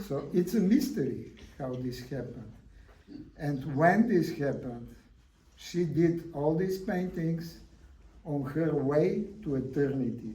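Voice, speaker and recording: A man's fairly high voice with a non-native accent, dark and mellow in tone, lively in intonation, at a fairly slow pace with long, frequent pauses, amid audible room echo. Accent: foreign. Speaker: artist. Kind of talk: public talk. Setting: gallery event with audience.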